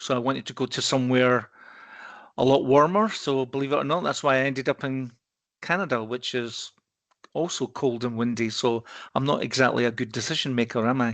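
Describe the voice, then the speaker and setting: Against a quiet background, a man with a Scottish accent talks at a fairly quick pace, his medium pitch showing ordinary variation. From Scotland, Edinburgh. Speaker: risk consultancy partner. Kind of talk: podcast interview. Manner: hesitant, repeats words.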